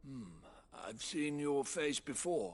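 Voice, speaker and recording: A put-on character voice delivered at a low-to-middle pitch. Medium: video game. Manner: curt, bitter.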